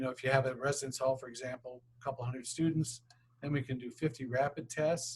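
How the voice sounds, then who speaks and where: A man talks in a somewhat breathy voice at a medium pitch. His intonation is monotone and flat. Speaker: university administrator presenting a grant request. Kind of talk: grant presentation at public board meeting. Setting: public board meeting. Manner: fast.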